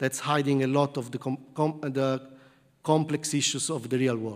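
A man's fairly high voice at a moderate pace, with an Italian accent and fairly even intonation. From southern Italy. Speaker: computer science professor. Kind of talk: lecture. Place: hall.

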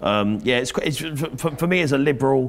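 A man speaks. His pace is very fast. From Sussex, southern England; southern England. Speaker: local councillor; council guest. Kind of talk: interview. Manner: hesitant, many ums. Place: studio. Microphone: lapel.

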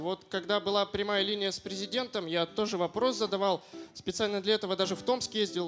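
A high-pitched man at a fairly quick pace, with faint music in the background. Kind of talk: stage comedy monologue. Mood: deadpan, understated delivery. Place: stage. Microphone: handheld.

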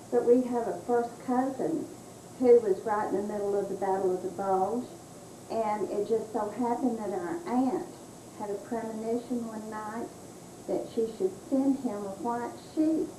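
The speech moves at a fairly slow pace with lively intonation. Background noise is noticeable. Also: woman, fairly high pitch for a woman. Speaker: family member recalling history. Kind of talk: interview answer, family storytelling. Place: home room. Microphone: old recording.

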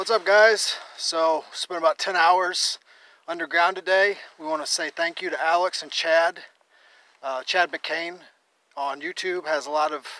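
A man speaks at a high pitch with a bright, sharp tone. His pace is fairly slow, his intonation fairly even, and the sound is dry with no echo. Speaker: caving vlogger. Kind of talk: casual vlog chat. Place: open country. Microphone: phone near.

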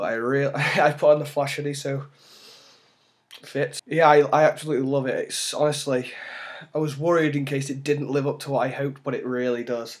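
This man talks at a fairly quick pace in a fairly high voice. His intonation is monotone and flat. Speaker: cosplayer. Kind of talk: casual talk to camera. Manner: a little loud.

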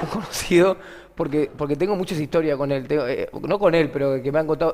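Delivered at a very fast pace with ordinary pitch variation, the speech comes in a Rioplatense accent. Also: man. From Argentina. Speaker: comedian and podcast host; comedian, podcast host. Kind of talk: casual chat. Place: studio.

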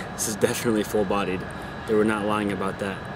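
A man speaks at a fairly quick pace with a dry sound and no echo, and noticeable background noise is present. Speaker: cigar reviewer. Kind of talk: casual review commentary. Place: garden. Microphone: phone near.

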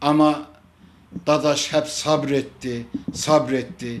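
Pitch variation is ordinary. The voice belongs to a man. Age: 60s. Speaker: football fan. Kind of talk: impassioned appeal. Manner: emotional; forceful. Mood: upset, protesting. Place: home room. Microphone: handheld.

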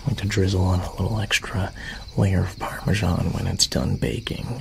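Noticeable background noise runs under a man speaking fairly slowly. His pitch is fairly low, with ordinary variation. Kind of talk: ASMR roleplay. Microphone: studio mic.

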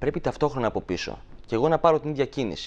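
A man talks with ordinary pitch variation, neither hurrying nor dragging at a moderate pace. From Greece, Thessaly (Volos); Greece. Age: 20s. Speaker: shadow puppeteer; guest. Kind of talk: TV interview. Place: studio. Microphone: lapel.

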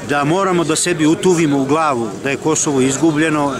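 Speech at a moderate pace comes through dry, with no echo, over noticeable background noise. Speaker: rally speaker. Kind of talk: rally speech. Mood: bitter, indignant. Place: open country. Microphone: phone near.

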